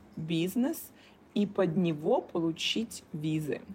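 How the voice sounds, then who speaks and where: Somewhat breathy, a woman speaks very slowly at a medium pitch. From Russia, Kaliningrad. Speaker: business coach. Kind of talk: casual interview chat. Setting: remote call.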